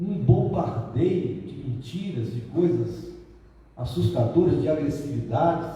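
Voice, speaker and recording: A medium-pitched man speaks at a very slow pace with lively intonation, amid noticeable background noise and audible room echo. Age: 70s. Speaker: Spiritist lecturer. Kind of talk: spiritual lecture.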